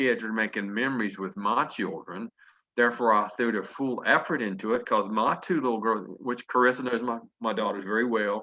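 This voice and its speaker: With a Southern US accent, a man talks at a fairly quick pace in a medium pitch, his tone bright and sharp and his pitch variation ordinary. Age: 50s. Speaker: network marketing leader. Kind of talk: motivational talk.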